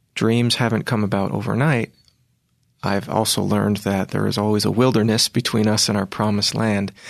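Talking at a fairly quick pace, a man with a plain, everyday voice keeps a fairly low pitch and fairly even intonation. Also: quiet background. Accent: American. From Virginia, US. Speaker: classical tenor singer. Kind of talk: interview.

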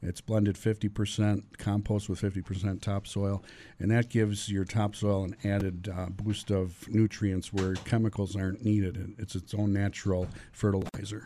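A man with an American accent, fairly low in pitch, dark and mellow in tone, monotone and flat, at a fairly slow pace, on a very clean recording with a silent background. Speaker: compost and mulch business owner. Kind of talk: radio interview. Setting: radio studio.

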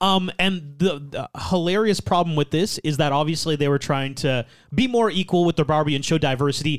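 With a normal speaking voice, a man talks at a fairly quick pace with hardly any pauses, fairly high pitch and ordinary pitch variation, on a very clean recording with a silent background. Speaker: podcast host.

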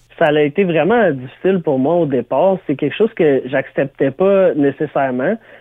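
A man with an unremarkable speaking voice, fairly high in pitch, talks at a moderate pace. His loudness stays very even, and his pitch varies in an ordinary way. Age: 30s. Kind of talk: interview.

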